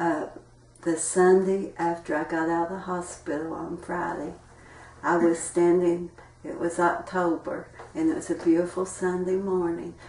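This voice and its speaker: A woman with an Appalachian accent talks in a fairly low, monotone, flat voice. Audible room echo and noticeable background noise fill the recording. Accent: Appalachian Kentucky. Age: 60s. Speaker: interviewee sharing health experiences. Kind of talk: interview testimony.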